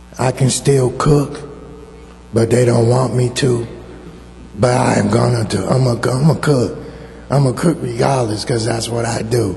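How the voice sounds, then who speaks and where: Room echo and noticeable background noise surround a man speaking at a medium pitch and a fairly slow pace. His intonation is fairly even, with long, frequent pauses. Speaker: church member, stroke survivor. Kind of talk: testimony. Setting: church with congregation, microphone. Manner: halting.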